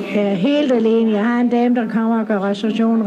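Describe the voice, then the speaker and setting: A woman speaks at a fairly quick pace in a fairly high, monotone, flat voice. There is noticeable background noise and audible room echo. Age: 60s. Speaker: pub owner. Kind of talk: interview. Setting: outdoors at a town square.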